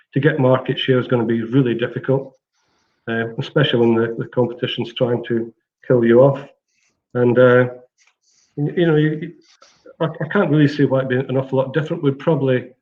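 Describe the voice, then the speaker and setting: A man's medium-pitched voice at a fairly quick pace, fairly even in intonation, broken by long, frequent pauses. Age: 60s. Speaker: platform company CEO. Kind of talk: interview. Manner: halting.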